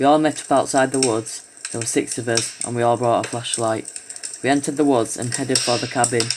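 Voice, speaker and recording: Over noticeable background noise, a man with a medium pitch speaks very fast in a monotone, flat intonation. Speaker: horror story narrator. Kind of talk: horror story reading.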